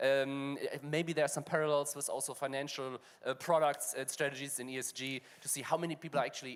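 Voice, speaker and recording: The speech, in a German accent, runs at a very fast pace. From Germany. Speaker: fintech panel moderator. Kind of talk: panel discussion.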